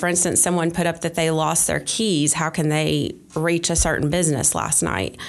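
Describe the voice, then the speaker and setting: A woman speaks with an Appalachian accent. Her pitch is fairly low. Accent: Southern US (Appalachian North Carolina). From western North Carolina, Polk County. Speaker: Facebook group moderator. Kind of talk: interview. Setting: public library.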